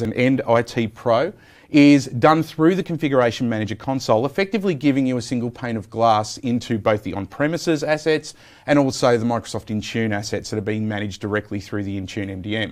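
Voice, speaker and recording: With an Australian accent, a man speaks at a fairly quick pace in a medium pitch, his intonation lively. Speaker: software program manager. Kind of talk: technical interview.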